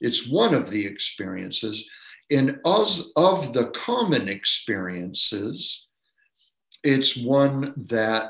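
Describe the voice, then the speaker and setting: This man talks at a very slow pace with an American accent. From Maine, US. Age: 70s. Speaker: professor of religion and philosophy. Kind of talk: interview.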